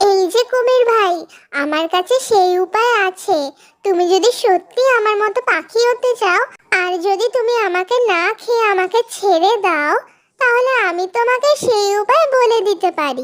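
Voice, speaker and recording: Extremely high in pitch, a cartoonish character voice is heard. It moves at a fairly slow pace. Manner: polite, earnest.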